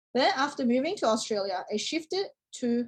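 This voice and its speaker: Here is a woman with a Chinese accent. Her pitch is high and her pace moderate. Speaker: teacher-training student. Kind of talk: class presentation. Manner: formal.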